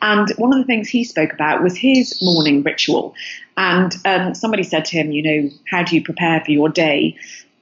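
A woman's fairly low-pitched voice with an English accent, lively intonation and very even loudness. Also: moderate pace. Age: 40s. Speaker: entrepreneur, business founder. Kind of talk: interview.

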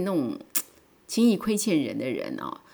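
A woman speaks with vocal fry and very wide swings in pitch. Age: 50s. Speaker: podcaster. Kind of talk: personal monologue. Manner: animated.

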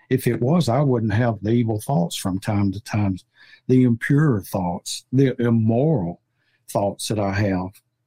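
Against a quiet background with a dry, close sound and no echo, a man speaks very slowly in a dark, mellow, somewhat breathy tone with ordinary pitch variation. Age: 70s. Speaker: podcast host, Bible teacher. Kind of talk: Bible study discussion.

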